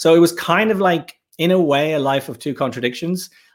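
On a very clean recording with a silent background, a man speaks in a Dublin accent at a moderate pace with ordinary pitch variation. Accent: Dublin Irish. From Ireland, Dublin. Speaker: filmmaker. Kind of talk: casual chat.

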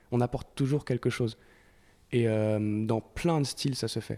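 A man with a French accent, a dark, mellow tone, medium pitch, fairly even intonation and a moderate pace. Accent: French-accented English when singing. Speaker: singer-guitarist in a rock band. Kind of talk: casual interview chat. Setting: radio studio. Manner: hesitant, with many fillers.

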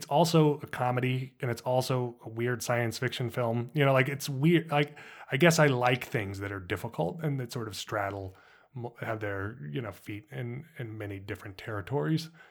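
A man with an American accent speaks at a moderate pace with ordinary pitch variation and big swings in loudness. The recording is very clean, with a silent background. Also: medium pitch for a man. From US Southwest, Los Alamos, New Mexico. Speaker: screenwriter. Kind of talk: interview. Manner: halting, repeats words.

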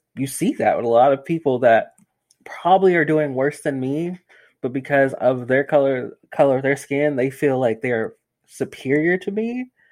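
Speaking in a normal speaking voice with an American accent, a man talks at a moderate pace and fairly high pitch, with ordinary pitch variation. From Greensboro, North Carolina. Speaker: podcast host. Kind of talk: casual chat. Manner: casual.

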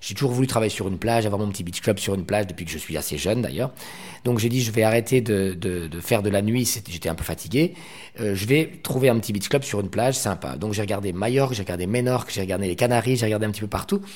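A man with a fairly low pitch rushes along at a very fast pace, using ordinary pitch variation. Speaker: nightclub entrepreneur. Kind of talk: interview.

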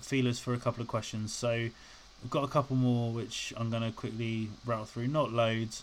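This man speaks with a British accent at a medium pitch. His pace is moderate. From UK. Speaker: podcast host. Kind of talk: solo podcast monologue. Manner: rambling, casual with frequent fillers.

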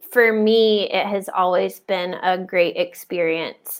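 In a very clean recording with a silent background, a woman with an American accent has a normal speaking voice at medium pitch and fairly even intonation. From US South, Georgia (south of Atlanta). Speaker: missionary. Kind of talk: interview.

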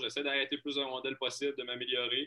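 A man at a medium pitch talks at a very fast pace. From Quebec, Lac-Saint-Jean. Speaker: hockey goaltender. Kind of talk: interview. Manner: halting, many repetitions.

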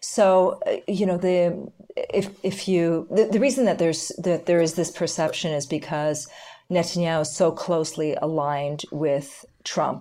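A plain, everyday voice, a woman with a Canadian accent, fairly low pitch, ordinary pitch variation, fairly slow pace. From Canada. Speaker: lawyer and political analyst. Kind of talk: interview.

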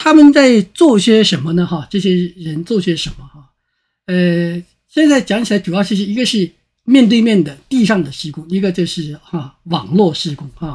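On a very clean recording with a silent background, a man with a high pitch speaks at a moderate pace, with lively intonation and big swings in loudness. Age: 50s. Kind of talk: interview conversation.

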